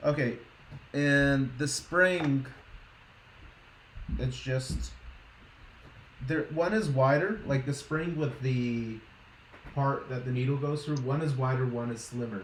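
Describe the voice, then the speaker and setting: With audible room echo, a man with a slight Boston accent speaks at a fairly high pitch with ordinary pitch variation. His pace is very slow, with long, frequent pauses. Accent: weak Boston accent, can only fake it. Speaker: streamer, scale modeler. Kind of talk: casual chat.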